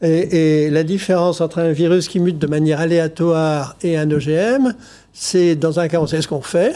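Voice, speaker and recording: A man's fairly high pitch with ordinary pitch variation and a dark, mellow tone. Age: 70s. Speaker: scientist. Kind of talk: TV debate interview.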